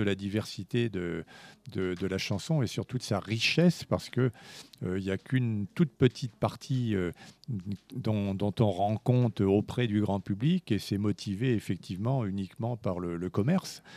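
In a very clean, dry and close recording with a silent background and no echo, a man with a fairly low voice and a dark, mellow tone speaks at a moderate pace with ordinary pitch variation. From France, Spanish family. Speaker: music journalist and author. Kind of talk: interview. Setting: live event interview.

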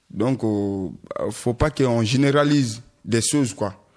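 Against a quiet background, a man with a medium pitch talks at a very slow pace with fairly even intonation. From Guinea. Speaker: asylum seeker, radio workshop participant. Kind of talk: discussion.

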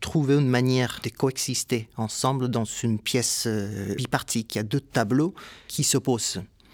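Speaking with a Spanish accent, a man talks at a fairly slow pace and medium pitch with ordinary pitch variation. The recording is very clean with a silent background, dry and close with no echo. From Puerto Rico (Ponce). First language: Spanish (speaking French). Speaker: composer. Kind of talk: interview testimony.

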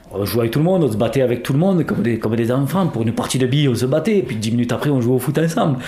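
Lively intonation drives very fast speech with hardly any pauses and very even loudness over noticeable background noise. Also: man, medium pitch for a man. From southern France (Gard). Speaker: interviewed local resident. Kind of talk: testimony.

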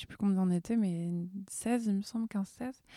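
With a dark, mellow tone, a woman talks at a moderate pace, her intonation fairly even. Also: dry, close sound with no echo. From France, Orléans. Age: 20s. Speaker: workshop participant. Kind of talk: personal testimony. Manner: halting.

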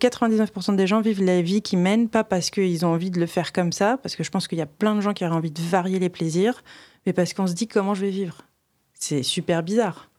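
The recording is very clean with a silent background. A woman with medium pitch and a dark, mellow tone talks at a fairly quick pace with fairly even intonation. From France, Reims. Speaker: storyteller and creative. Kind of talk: casual interview conversation.

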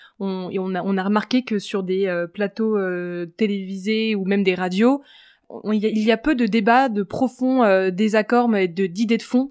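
A woman is speaking. The background is quiet. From France, Paris. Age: 20s. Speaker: media entrepreneur. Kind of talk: interview.

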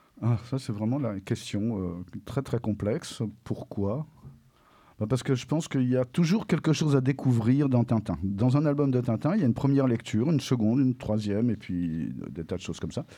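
A man's dark, mellow tone and lively intonation on a very clean recording with a silent background. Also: medium pitch for a man, fairly quick pace. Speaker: French teacher and comics expert. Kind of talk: interview on school radio.

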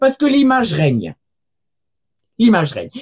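A woman's pitch swings very widely. She speaks very fast. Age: 70s. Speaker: archaeologist and linguist. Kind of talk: lecture. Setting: video call.

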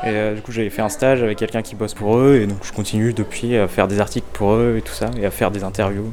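A man speaks in a normal speaking voice at a fairly low pitch. His pace is fairly quick. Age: 20s. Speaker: philosophy student. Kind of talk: casual interview.

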